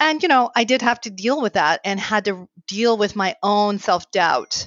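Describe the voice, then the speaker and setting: Delivered at a fairly slow pace, this is an unremarkable speaking voice. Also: woman. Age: 50s. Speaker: marriage therapist. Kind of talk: interview.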